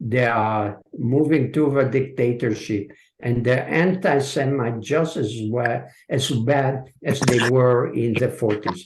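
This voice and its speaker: A somewhat breathy man's voice at a medium pitch, with very even loudness, ordinary pitch variation and a very slow pace. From Hungary and Israel. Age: 70s. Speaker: author and translator. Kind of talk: audience Q&A. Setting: video call. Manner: hesitant, many filler sounds.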